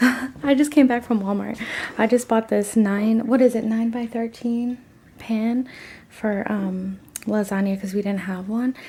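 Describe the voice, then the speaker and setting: A soft-spoken woman talks at a fairly slow pace with fairly high pitch. Her intonation is fairly even, and noticeable background noise comes through. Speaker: lifestyle vlogger. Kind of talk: casual vlog.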